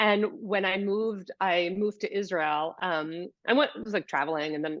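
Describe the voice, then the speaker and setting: A woman talks at a medium pitch with a New York accent. The background is quiet. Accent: New York American. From US, New York City. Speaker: yoga teacher and movement specialist. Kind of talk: podcast interview.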